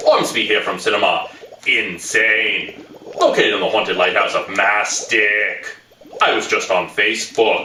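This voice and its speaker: A man puts on a theatrical character voice, with a slight echo around it. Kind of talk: campy horror host showmanship. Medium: comedy sketch. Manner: theatrical, gleeful.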